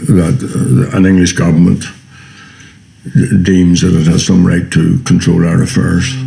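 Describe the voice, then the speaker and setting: A man with a Northern Irish accent and a very deep, low pitch talks at a fairly slow pace and very even loudness over noticeable background noise. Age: 70s. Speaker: republican activist. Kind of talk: documentary interview. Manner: halting.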